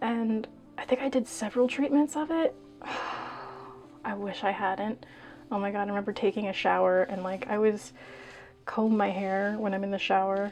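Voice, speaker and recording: With music in the background, a woman speaks at a moderate pace in a medium pitch, with ordinary pitch variation and long, frequent pauses. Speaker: beauty vlogger. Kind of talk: storytime vlog. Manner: casual, rambling with fillers.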